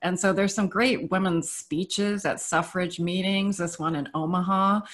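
A woman talks at a moderate pace with ordinary pitch variation, the background quiet. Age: 50s. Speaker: design professor. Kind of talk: panel discussion. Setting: video call. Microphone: video call.

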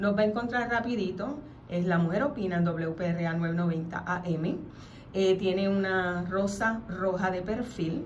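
A woman at a very slow pace, her loudness very even, with light background noise. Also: ordinary pitch variation. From Puerto Rico, Mayagüez. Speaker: radio host. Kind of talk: radio talk show; reading aloud a legal document. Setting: radio studio. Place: studio. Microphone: studio mic.

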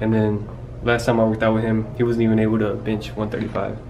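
Light background noise sits under a man talking at a fairly quick pace. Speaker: vlogger. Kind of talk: casual vlog chat. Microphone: phone near.

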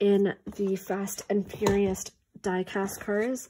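Her intonation monotone and flat, a woman talks at a fairly slow pace. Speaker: small online toy seller. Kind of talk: casual vlog chat. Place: home room. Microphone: phone near.

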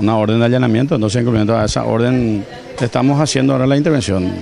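A man with ordinary pitch variation in a dry sound with no echo, over light background noise. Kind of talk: interview answer. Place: market.

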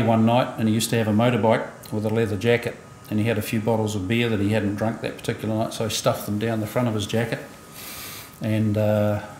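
A man speaks amid light background noise and audible room echo. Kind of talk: eulogy speech. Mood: warm, lightly amused. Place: church.

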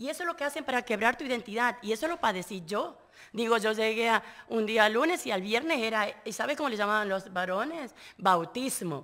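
Against a quiet background, a woman talks at a fairly quick pace with a fairly high pitch, lively intonation and a bright, sharp tone. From Argentina. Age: 50s. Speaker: trafficking survivor and activist; interview guest. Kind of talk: interview testimony; interview answer. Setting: live radio at a conference venue. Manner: halting, with repetitions. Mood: earnest, indignant. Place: studio. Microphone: studio mic.

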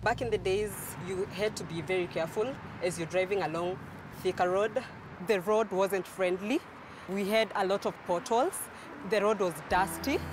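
Against noticeable background noise, a woman with a medium pitch speaks at a moderate pace, with fairly even intonation and long, frequent pauses. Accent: Kenyan. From Kenya. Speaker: human resource practitioner. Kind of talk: interview answer.

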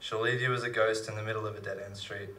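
A man's medium-pitched voice with a bright, sharp tone. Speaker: slam poet. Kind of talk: poetry reading. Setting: live stage with audience. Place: stage. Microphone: handheld.

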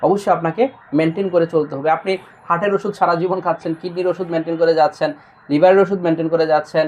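This man has a high-pitched voice. His intonation is fairly even. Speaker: doctor. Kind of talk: patient testimonial video.

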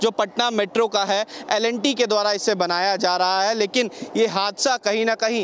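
Dry sound with no echo and light background noise carries a man's high pitch, fairly even intonation and moderate pace. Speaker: TV field reporter. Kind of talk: news field report. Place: street. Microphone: handheld.

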